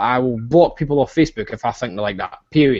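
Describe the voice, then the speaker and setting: In a Scottish accent, the speaker goes at a very fast pace with an animated tone and ordinary pitch variation. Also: man. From Scotland. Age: 20s. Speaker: online business coach. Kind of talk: live stream chat. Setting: video call.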